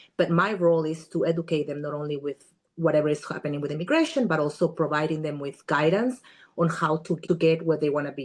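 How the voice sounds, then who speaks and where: A woman talks at a very fast pace and a fairly low pitch. The background is quiet. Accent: Spanish. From Guatemala. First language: Spanish. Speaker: immigration attorney. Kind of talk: podcast interview.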